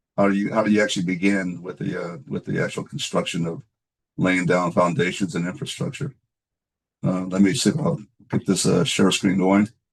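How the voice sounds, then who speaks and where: Speaking at a fairly quick pace, this man has a very deep, low pitch. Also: lively intonation. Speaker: space architect. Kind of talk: lecture. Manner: hesitant, many fillers.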